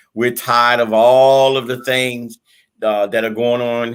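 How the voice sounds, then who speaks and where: In a very clean recording with a silent background, a man speaks at medium pitch. He keeps a moderate pace. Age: 60s. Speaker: community commentator. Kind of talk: panel discussion. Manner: halting, many repetitions.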